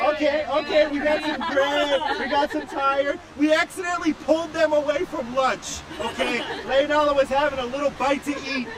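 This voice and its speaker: A loud, animated voice speaks at a moderate pace. Crowd noise runs in the background. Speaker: live stream race commentator and interviewer. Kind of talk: live event interview.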